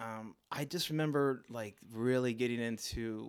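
A man speaks with an American accent at a fairly slow pace, in an unremarkable speaking voice. The recording is very clean, with a silent background. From Baltimore, US. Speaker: visual artist. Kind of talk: casual chat.

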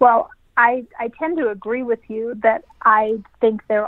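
This woman has a plain, everyday voice, pitched fairly high. Her pitch varies in an ordinary way. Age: 40s. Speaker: travel company managing director. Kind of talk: interview.

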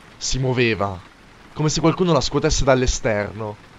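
The pace is fairly quick. There is noticeable noise in the background. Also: man. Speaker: creepypasta narrator. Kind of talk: ghost story telling, first-person horror narration.

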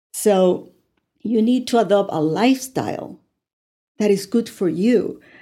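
With a Spanish accent, a woman of medium pitch speaks in a dark, mellow tone with lively intonation. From Puerto Rico. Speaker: life coach. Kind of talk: interview.

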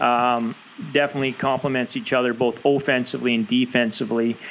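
A man with a Canadian accent and a plain, everyday voice talks at medium pitch and a fairly quick pace. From Canada, West Coast (British Columbia). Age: 40s. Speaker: rugby coach, former national sevens player. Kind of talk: casual interview.

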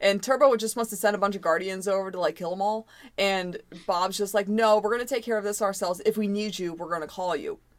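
Medium in pitch, a woman speaks with an American accent and fairly even intonation. Her pace is very fast. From US. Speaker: podcast co-host. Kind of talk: casual chat.

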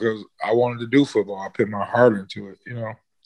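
A man has a plain, everyday voice. His pitch is medium and his pace fairly quick. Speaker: rapper and landscaping business owner. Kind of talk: casual interview chat. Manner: laid-back, slangy, casual.

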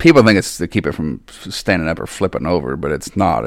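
At a fairly quick pace, a man with a very deep, low pitch speaks with lively intonation and vocal fry. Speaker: drag racer. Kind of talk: casual chat. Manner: halting.

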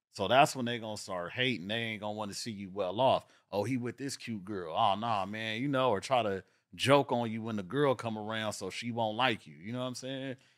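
On a very clean recording with a silent background, a man talks at a fairly quick pace with medium pitch and fairly even intonation. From Los Angeles area (San Pedro, Carson). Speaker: real estate agent and entrepreneur. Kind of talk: casual chat. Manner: fast.

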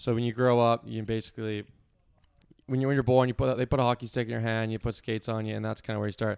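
Monotone and flat, a man rattles along at a very fast pace with a medium pitch. The sound is dry and close, with no echo. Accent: Maritime Canadian. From Nova Scotia, Canada (Cole Harbour, Halifax area). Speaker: yacht crew member. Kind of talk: casual interview chat.

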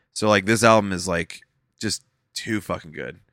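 A man talks at a moderate pace in a bright, sharp tone. The recording is very clean, with a silent background. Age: 30s. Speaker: podcast host and musician. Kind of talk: casual chat.

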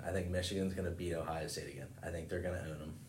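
A very deep, low, somewhat breathy male voice with an American accent and audible room echo. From rural western Maryland (Cumberland). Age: 20s. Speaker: college baseball player. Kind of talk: casual chat.

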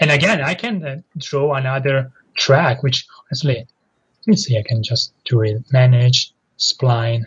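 A man's somewhat breathy, medium-pitched voice at a fairly slow pace, with ordinary pitch variation. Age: 30s. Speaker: indie game developer. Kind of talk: casual interview.

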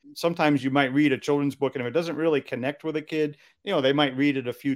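Very fast speech from a man with an American accent, medium in pitch, in a very clean recording with a silent background. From Massachusetts, US. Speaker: children's book author and songwriter. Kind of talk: interview.

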